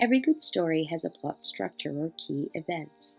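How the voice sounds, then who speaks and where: Over music in the background, a woman with a fairly low pitch talks at a moderate pace, her pitch swinging very widely. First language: not English. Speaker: academic coach and English tutor. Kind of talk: educational narration.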